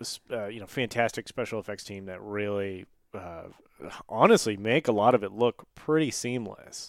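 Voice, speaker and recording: Recorded very cleanly against a silent background, with a dry, close sound with no echo, a man with a fairly low pitch speaks at a moderate pace in an unremarkable speaking voice. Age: 30s. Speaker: podcast host. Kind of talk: casual chat.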